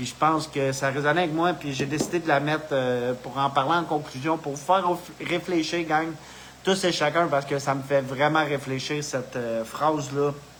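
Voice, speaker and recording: A man in a Quebec accent speaks at a moderate pace and fairly high pitch with fairly even intonation over noticeable background noise. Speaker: spiritual video host. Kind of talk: casual live monologue. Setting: live video stream. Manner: halting, with many fillers.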